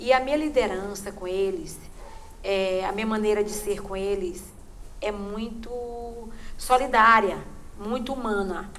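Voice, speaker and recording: Speech comes at a fairly slow pace, with long, frequent pauses and ordinary pitch variation. Audible room echo surrounds the voice. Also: woman, medium pitch for a woman. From Maranhão, Brazil (Munim region, interior). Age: 60s. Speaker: cultural group leader and community leader. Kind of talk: interview testimony.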